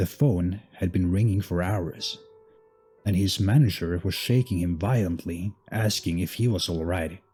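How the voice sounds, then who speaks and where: Over music in the background, a man with a very deep, low pitch talks at a fairly slow pace with ordinary pitch variation. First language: not English. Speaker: horror story narrator. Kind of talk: scary story narration.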